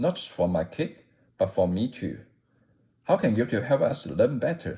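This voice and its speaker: A man talks at a moderate pace. He speaks with a non-native accent. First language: not English. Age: 40s. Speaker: content creator. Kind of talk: scripted narration. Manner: not a natural speaker.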